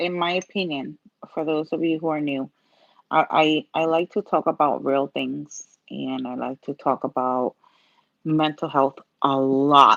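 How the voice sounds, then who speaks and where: Recorded dry and close with no echo, a voice with a Puerto Rican accent keeps a fairly even intonation. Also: woman, very deep, low pitch for a woman, fairly slow pace, quiet background. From Puerto Rico. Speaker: nail art content creator, pharmacy technician. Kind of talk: live-stream tutorial chat.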